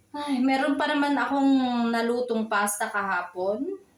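A woman speaks with lively intonation. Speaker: vlogger, single mother. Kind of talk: casual home vlog.

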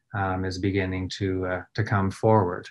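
This man talks at a fairly slow pace with a Nova Scotian accent. His pitch sits fairly low, and the background is quiet. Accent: Nova Scotian Canadian English. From Nova Scotia, Canada. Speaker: trauma response and threat assessment expert. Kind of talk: recorded presentation. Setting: recorded video presentation. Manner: frequent filler words. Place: office. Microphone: webcam.

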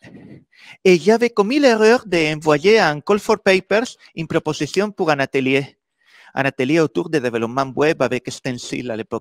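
In a Spanish accent, a man with a fairly high pitch talks fairly slowly, his pitch swinging very widely and his loudness varying greatly, with long, frequent pauses over a quiet background. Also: dry sound with no echo. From Spain. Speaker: software developer and conference speaker. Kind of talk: conference talk. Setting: stage with audience. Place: meeting room.

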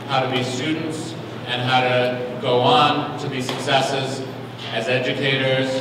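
Amid noticeable background noise and strong room echo, a man speaks at a fairly slow pace. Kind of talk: public address at a hearing. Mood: earnest, encouraging. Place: hall.

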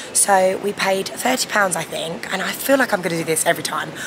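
A woman talks at a fairly quick pace with noticeable background noise. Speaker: travel vlogger. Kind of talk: casual vlog chat. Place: station. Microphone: phone near.

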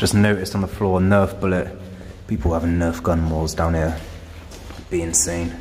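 A man with a very deep, low voice speaks at a moderate pace in a monotone, flat intonation. Light background noise sits behind him. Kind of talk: casual vlog commentary. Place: tunnel cave. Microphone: phone near.

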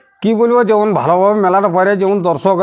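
Noticeable background noise runs through the recording. A man is speaking. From Purulia, West Bengal, India. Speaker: farmer and buffalo-fight owner. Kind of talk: interview.

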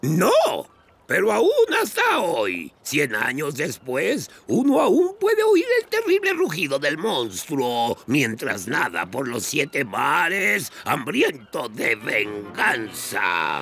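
A man puts on a character voice, fairly high in pitch, and delivers it at a very slow pace. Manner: gruff, theatrical.

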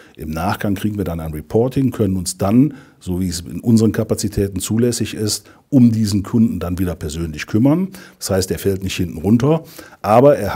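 A somewhat breathy voice with a dark, mellow tone moves at a fairly quick pace with ordinary pitch variation over a quiet background. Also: man. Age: 50s. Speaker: insurance district director. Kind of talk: customer testimonial interview. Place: office.

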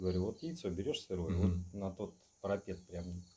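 A man's very deep, low pitch in a dark, mellow tone, with fairly even intonation. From Saint Petersburg, Russia. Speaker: magic practitioner; interview guest. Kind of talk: casual chat. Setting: indoors at night at his home. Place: home room. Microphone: camera far.

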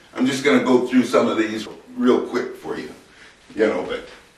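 A man is speaking. The room echo is audible. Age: 60s. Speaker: grandfather. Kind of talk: casual talk to camera. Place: empty room. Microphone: camera far.

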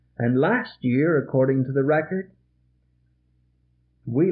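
A man with an American accent speaks at a fairly slow pace. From American Midwest (Illinois). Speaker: Presbyterian pastor. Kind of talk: sermon. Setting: vintage reel-tape recording from a church. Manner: earnest, pointed, exhorting. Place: church. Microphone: old recording.

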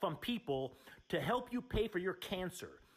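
This man's high-pitched voice makes very wide pitch swings while he talks at a moderate pace. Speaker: caller. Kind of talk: angry phone confrontation.

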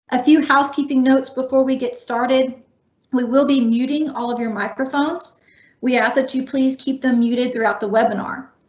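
Audible room echo surrounds a woman with a high pitch who speaks fairly quickly and fairly evenly against a quiet background. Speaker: webinar host. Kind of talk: scripted announcements. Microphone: video call.

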